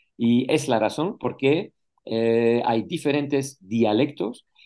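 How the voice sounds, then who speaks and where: This man's voice has a dark, mellow tone and a medium pitch. He talks at a very slow pace with ordinary pitch variation. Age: 60s. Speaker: retired flight attendant, language student. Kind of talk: interview. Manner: halting, frequent hesitations and self-corrections.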